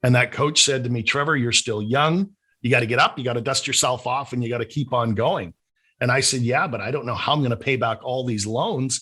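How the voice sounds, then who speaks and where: A man with a slight Canadian accent talks in a bright, sharp tone and fairly even intonation against a quiet background. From Canada, Vancouver. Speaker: business coach. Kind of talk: interview.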